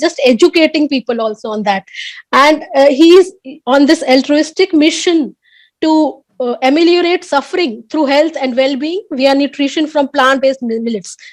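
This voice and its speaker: On a very clean recording with a silent background, a woman speaks at a moderate pace with a high pitch and ordinary pitch variation. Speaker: conference session chair, professor. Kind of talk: speaker introduction at academic conference. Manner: halting, many fillers and restarts.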